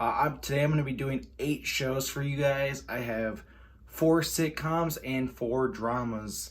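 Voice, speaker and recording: Fairly slow speech from a man, with audible room echo around it. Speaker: YouTuber. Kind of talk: casual vlog talk.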